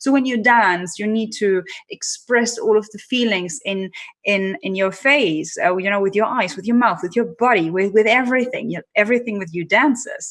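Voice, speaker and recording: A woman's fairly high voice with ordinary pitch variation, at a moderate pace. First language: not English. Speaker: personal branding strategist and keynote speaker. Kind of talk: interview.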